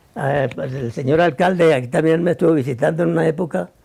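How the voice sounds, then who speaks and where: Fairly high-pitched with vocal fry, a man speaks at a moderate pace in a dark, mellow tone, his pitch varying in an ordinary way. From Colombia, Cundinamarca (Suesca). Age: 80s+. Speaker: elderly farmer, local resident. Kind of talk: interview. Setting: at his home in the countryside. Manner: halting, repeats words.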